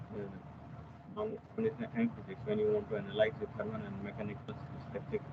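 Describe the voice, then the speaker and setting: Quietly and at a fairly quick pace, a man speaks with ordinary pitch variation over noticeable background noise. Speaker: software application engineer giving a tutorial. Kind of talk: technical webinar tutorial. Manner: hesitant, many fillers. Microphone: video call.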